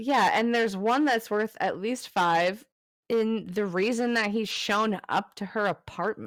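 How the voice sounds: Against a quiet background, a natural reading voice keeps a fairly even intonation.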